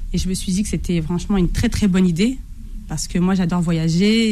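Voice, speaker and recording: Dark, mellow female voice with audible room echo. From Algerian heritage, France. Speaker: pastry book author, food blogger. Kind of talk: radio interview.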